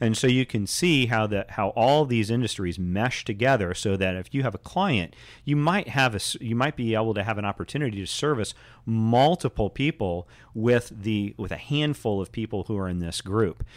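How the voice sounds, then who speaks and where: On a very clean recording with a silent background, a man with an American accent speaks at a medium pitch with ordinary pitch variation, a plain, everyday voice. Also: moderate pace. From Indianapolis, Indiana. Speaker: realtor. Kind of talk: radio interview.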